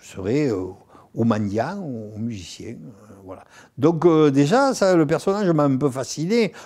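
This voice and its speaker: Over a quiet background, a man speaks at a fairly slow pace with a dark, mellow tone. His pitch swings very widely, with long, frequent pauses. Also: big swings in loudness. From southern France, Nîmes; southern France. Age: 70s. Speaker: actor and singer; actor. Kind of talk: interview. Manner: halting, repeats words. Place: home room.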